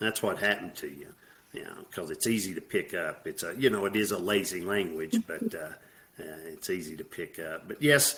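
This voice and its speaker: In a Southern US accent, a man talks at a moderate pace, his loudness swinging widely. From US South. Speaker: military veteran, former alcoholic. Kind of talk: podcast interview.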